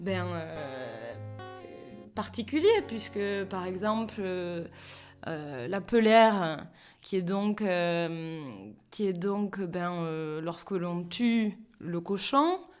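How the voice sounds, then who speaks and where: A woman's fairly low voice with lively intonation, at a very slow pace with long, frequent pauses, over music in the background. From Béarn, France. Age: 30s. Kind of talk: interview answer.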